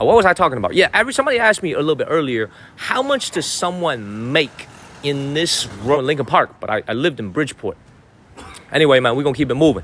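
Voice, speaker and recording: Over noticeable background noise, a man talks at a very fast pace with a fairly high pitch and lively intonation. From Chicago, US Midwest. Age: 30s. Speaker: live streamer. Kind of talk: live stream chat. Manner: animated.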